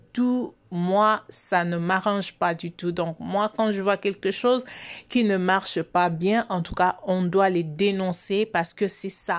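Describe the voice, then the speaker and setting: On a very clean recording with a silent background, a woman of medium pitch speaks at a very slow pace. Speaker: YouTube commentator. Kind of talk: video commentary. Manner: soft-spoken.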